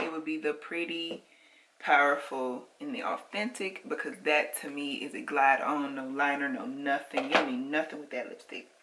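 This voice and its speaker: A woman's voice over noticeable background noise. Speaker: makeup reviewer and sales consultant. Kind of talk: product review vlog.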